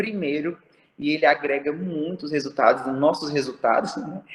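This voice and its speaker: This man's voice sits fairly high. Its pitch moves in an ordinary way. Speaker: aesthetic pharmacist. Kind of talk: online talk to students. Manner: animated.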